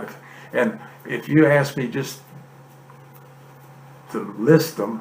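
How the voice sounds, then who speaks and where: Speaking at a very slow pace with long, frequent pauses, a man uses a fairly high pitch and lively intonation. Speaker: grandfather, former naval serviceman. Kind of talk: reminiscing, telling stories in conversation.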